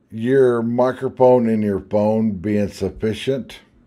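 Slowly, very slowly, a man speaks in a dark, mellow tone. The background is quiet. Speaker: product reviewer. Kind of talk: product review tutorial. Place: home room.

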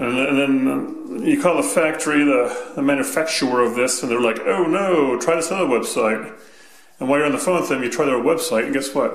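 A man talking at a fairly quick pace, with audible room echo. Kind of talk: tutorial. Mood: casual, mildly exasperated. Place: home room. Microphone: phone near.

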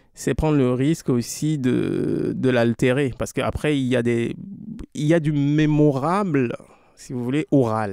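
With a West African accent, a man speaks fairly slowly in a dark, mellow tone at a medium pitch, with ordinary pitch variation. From Togo. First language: Anufo (speaking French). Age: young. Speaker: author. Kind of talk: interview.

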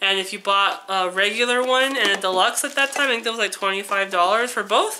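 A woman talks at a moderate pace with ordinary pitch variation. Noticeable background noise can be heard. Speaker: vlogger. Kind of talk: casual vlog haul. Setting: home, sitting on the floor filming.

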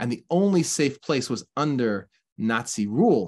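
His intonation is lively. The speaker is a man. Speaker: religious teacher. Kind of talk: sermon. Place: home room. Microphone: webcam.

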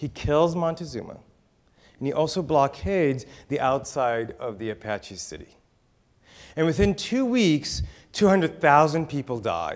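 Over a quiet background, a man talks fairly slowly at a fairly high pitch, with lively intonation and long, frequent pauses. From Israel, raised in Texas and California. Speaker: author and keynote speaker. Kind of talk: conference keynote talk. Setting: stage with audience. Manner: humorous. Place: hall. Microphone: lapel.

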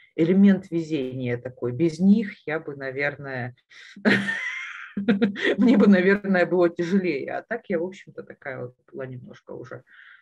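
A woman speaks at a fairly slow pace with a fairly low pitch. Her intonation is lively against a quiet background. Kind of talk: interview answer. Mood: reflective, wry, some laughter. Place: home room. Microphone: earbuds.

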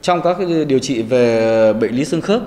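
The speaker is a man with a fairly high pitch. His intonation is lively. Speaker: military doctor. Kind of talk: TV interview. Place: studio. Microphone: lapel.

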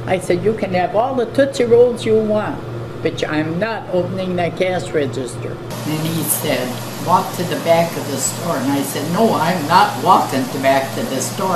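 With music in the background, a woman talks at a moderate pace. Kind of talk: interview answer. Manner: elderly woman's aged, firm voice. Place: shop.

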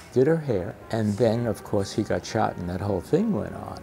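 A man speaks at a moderate pace in a New York accent, his fairly low voice making very wide pitch swings. Music plays in the background. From New York City, Lower East Side. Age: 80s+. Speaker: hairdresser and street photographer. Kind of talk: interview answer.

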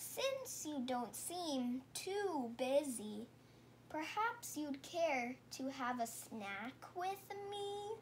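Someone uses a put-on character voice with a high pitch. The pace is very slow, with clear background noise. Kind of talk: bedtime story. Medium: read story. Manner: storyteller acting animal lines.

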